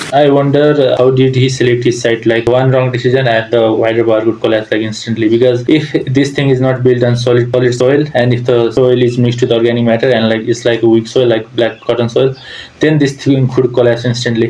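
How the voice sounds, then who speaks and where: Speech comes at a fairly quick pace with hardly any pauses, in a non-native accent. The intonation is flat and monotone, and background noise is noticeable. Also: man, very even loudness. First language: not English. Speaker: civil engineer reacting to videos. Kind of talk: reaction commentary. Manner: hesitant, with fillers.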